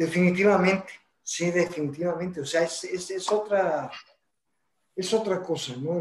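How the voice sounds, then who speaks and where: At a fairly slow pace, this man talks in a high voice. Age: 70s. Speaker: podcast co-host. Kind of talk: casual chat.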